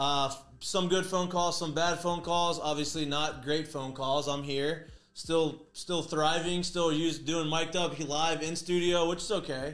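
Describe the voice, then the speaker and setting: With fairly even intonation, a man delivers his words at a fairly slow pace. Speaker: show host. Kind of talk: casual sports show chat. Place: studio. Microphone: studio mic.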